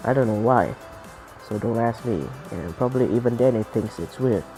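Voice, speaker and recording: A man's voice with music playing in the background. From Malaysia, Sarawak. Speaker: indie game developer. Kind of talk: casual devlog narration. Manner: hesitant, insecure.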